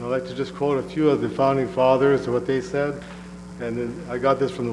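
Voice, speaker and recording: Room echo is audible, along with noticeable background noise. A man speaks at a medium pitch. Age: 70s. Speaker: public commenter. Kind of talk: public comment at council meeting.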